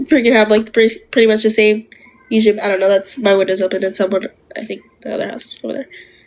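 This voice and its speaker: A woman rattles along at a very fast pace, with noticeable noise in the background. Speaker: livestreamer. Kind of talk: live stream chat.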